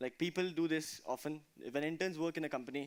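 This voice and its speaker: The speaker is a man with a fairly high pitch. He moves at a fairly quick pace, his intonation fairly even. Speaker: conference speaker on DevOps. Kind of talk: technical talk with Q&A. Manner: fast.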